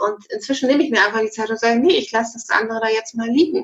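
A woman speaks with ordinary pitch variation. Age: 40s. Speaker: online magazine founder. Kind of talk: interview.

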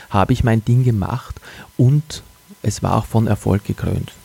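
A man with an ordinary speaking voice talks at a moderate pace and medium pitch, recorded dry and close with no echo. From Austria, Wachau region (Lower Austria). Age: 40s. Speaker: podcast host and communications agency owner. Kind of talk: motivational monologue. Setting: living room at home, early morning.

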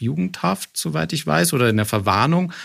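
In a very clean recording with a silent background, a man with a fairly low pitch and vocal fry speaks at a moderate pace, his pitch swinging very widely. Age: 30s. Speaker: podcast host. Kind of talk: interview. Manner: stammering repetitions.

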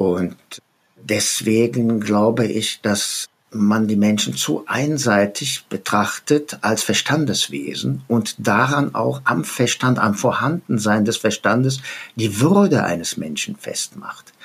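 Speaking very slowly, a man uses lively intonation at a fairly low pitch. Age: 70s. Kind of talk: interview.

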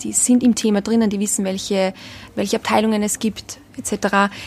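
Over music in the background, a woman with an Austrian accent speaks at a moderate pace with fairly high pitch and monotone, flat intonation. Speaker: hospitality brand ambassador. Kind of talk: interview. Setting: hotel in Berlin.

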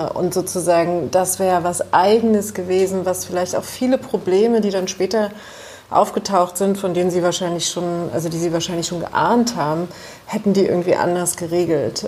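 A woman speaks at a moderate pace with fairly even intonation, and there is noticeable background noise. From East Germany. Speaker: journalist. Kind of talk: interview.

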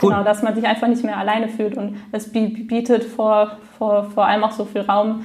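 This woman's voice sits at a fairly high pitch. She talks at a moderate pace. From Frankfurt, Germany. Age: 20s. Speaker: stuttering self-help group leader. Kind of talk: interview. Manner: repetitions and blocks.

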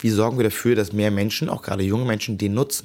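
A man's fairly low-pitched voice at a very fast pace, with fairly even intonation. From Hamburg, Germany. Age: 20s. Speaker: local politician. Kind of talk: interview.

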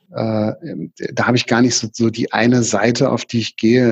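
A man's medium-pitched, monotone voice with flat intonation at a moderate pace, with a dry, close sound and no echo. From Germany, Berlin. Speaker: consulting firm partner. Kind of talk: interview. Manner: hesitant with frequent fillers.

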